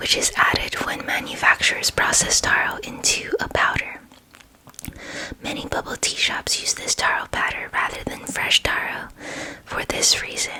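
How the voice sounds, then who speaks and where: A woman's whisper amid noticeable background noise. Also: moderate pace. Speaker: ASMR creator. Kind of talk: ASMR book reading. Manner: soft-spoken, whispering.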